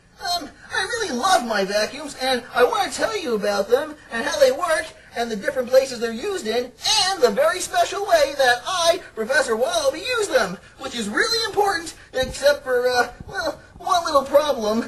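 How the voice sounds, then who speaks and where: A cartoonish character voice comes through at a high pitch. The pace is moderate. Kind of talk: children's puppet comedy.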